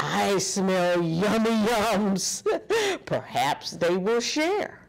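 A woman does a put-on character voice at a very slow pace, with vocal fry and lively intonation. Faint music plays in the background. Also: medium pitch for a woman.

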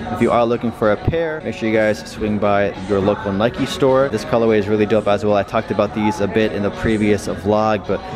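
A man with a fairly low pitch talks at a fairly quick pace with hardly any pauses. His intonation is fairly even, and music plays clearly in the background. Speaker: sneaker vlogger. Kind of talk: casual vlog commentary. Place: shop. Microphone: phone near.

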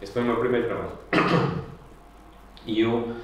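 A man at a moderate pace, with strong echo from the room. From Portugal, Aveiro. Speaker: curator and artist. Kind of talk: public conversation. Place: empty room.

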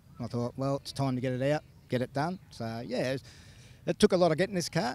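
Recorded with a dry sound and no echo, a man speaks with ordinary pitch variation. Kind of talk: interview answer. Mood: relaxed, laughing. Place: open country. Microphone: handheld.

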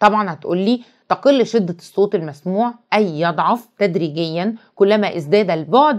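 Animated in tone, a woman with an Egyptian accent speaks at a medium pitch and a fairly slow pace, with ordinary pitch variation. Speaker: teacher. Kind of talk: lecture.

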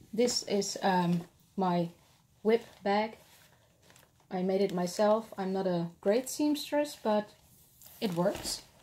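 Slow and dark, mellow in tone, the speaker uses a Dutch accent with ordinary pitch variation and long, frequent pauses. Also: woman, medium pitch for a woman.

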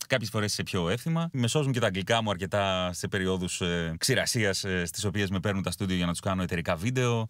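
Against a quiet background, a man with a fairly low pitch and ordinary pitch variation speaks at a fairly quick pace with hardly any pauses, very even loudness and a dry sound with no echo. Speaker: voice-over announcer. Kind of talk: casual interview chat. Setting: Skype call from a snowy mountain home. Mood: relaxed, friendly. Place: car.

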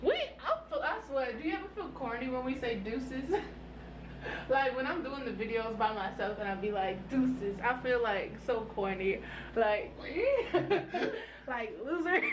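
A woman speaks in a high pitch at a moderate pace. She takes long, frequent pauses over noticeable background noise. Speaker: vlogger. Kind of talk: casual vlog chat. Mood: playful, laughing. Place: home room. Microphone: phone near.

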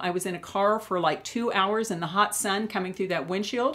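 Her pace is fairly quick. The woman's pitch shows ordinary variation. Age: 60s. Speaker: beauty YouTuber. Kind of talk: vlog tutorial. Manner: warm, friendly. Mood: candid, personal, calm. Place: home room.

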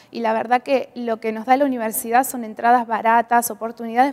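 This woman speaks at a fairly quick pace with fairly even intonation. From Argentina. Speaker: international college student. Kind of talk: interview. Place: studio. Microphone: lapel.

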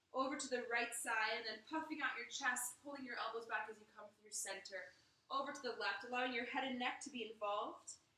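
With audible room echo around her, a woman speaks in a high voice with fairly even intonation. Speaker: yoga instructor. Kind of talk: guided yoga instruction. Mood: calm, soothing. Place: home room. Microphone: camera far.

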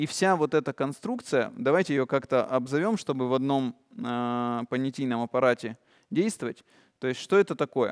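At a moderate pace, a man with a medium pitch talks in an animated tone with lively intonation over a quiet background. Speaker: meditation course leader; presenter. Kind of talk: lecture. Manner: animated, gestures a lot. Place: hall.

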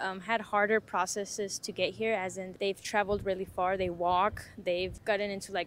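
A woman talks at a moderate pace over light background noise, in a dry sound with no echo. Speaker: interviewee. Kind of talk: interview answer. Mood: earnest, thoughtful. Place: street. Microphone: lapel.

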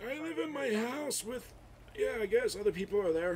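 A man in a put-on character voice hits an extremely high pitch with very wide pitch swings, clear background noise behind him. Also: moderate pace. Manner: confused, indignant, shouting.

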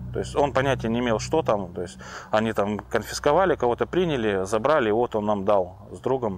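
A man with a fairly low pitch swings it very widely, the sound dry with no echo and light background noise behind him. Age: 30s. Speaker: recovering drug addict. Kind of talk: personal testimony. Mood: reflective, slightly amused. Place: forest. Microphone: lapel.

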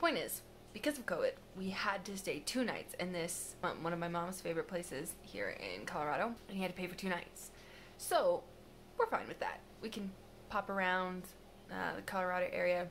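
A woman at a fairly quick pace over light background noise. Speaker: travel vlogger. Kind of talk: casual vlog chat. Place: home room. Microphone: phone near.

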